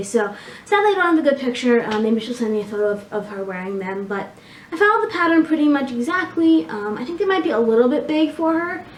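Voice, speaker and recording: A woman at a very fast pace, lively intonation, audible room echo and noticeable background noise. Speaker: knitting podcaster. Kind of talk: casual video podcast chat. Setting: home recording on camera. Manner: filler-heavy, halting.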